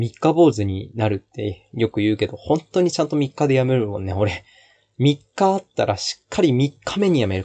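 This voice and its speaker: A man speaks at a medium pitch, somewhat breathy. His pitch swings very widely over a quiet background. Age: 20s. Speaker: podcast host, aspiring actor. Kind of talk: casual solo talk. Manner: halting, many fillers.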